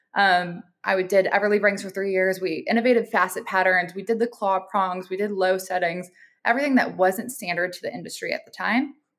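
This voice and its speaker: With an American accent and an ordinary speaking voice, a woman talks at a fairly quick pace with hardly any pauses, medium pitch and ordinary pitch variation, on a very clean recording with a silent background. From US Midwest, Minneapolis, Minnesota. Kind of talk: interview.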